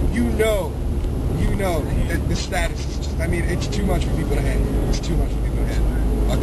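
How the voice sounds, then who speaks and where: A man talks at a fairly quick pace. Loud background noise runs behind him. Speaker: wrestling-style video host. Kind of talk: trash-talk promo. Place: car.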